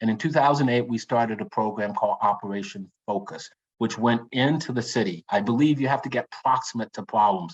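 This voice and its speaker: With an American accent, a man talks at a fairly quick pace and a medium pitch, showing ordinary pitch variation and hardly any pauses. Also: dry, close sound with no echo. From US South, Lynchburg, Virginia. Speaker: pediatric surgeon. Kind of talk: lecture. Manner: fast; halting.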